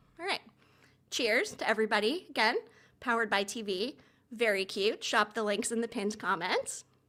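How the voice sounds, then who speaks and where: A woman speaks loudly, pitched fairly high, with ordinary pitch variation and a bright, sharp tone. Her pauses are long and frequent. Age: 50s. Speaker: TV commentator and YouTuber. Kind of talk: livestream commentary. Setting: livestream. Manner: fast.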